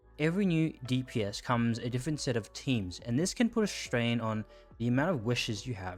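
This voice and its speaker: Music plays in the background. A man speaks at a medium pitch and a moderate pace. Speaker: gaming content creator. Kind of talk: casual commentary to camera. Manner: sometimes halting, stuttering.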